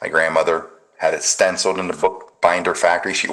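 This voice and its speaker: Noticeable background noise accompanies this man's speech. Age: 60s. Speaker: patriot commentary show host. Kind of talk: casual chat.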